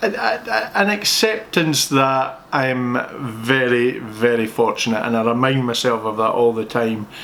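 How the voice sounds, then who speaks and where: This man's voice sits at a medium pitch, and his pace is fairly slow. There is noticeable background noise. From Scotland. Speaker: accountant answering viewer questions. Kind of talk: casual Q&A chat. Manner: talkative, playful.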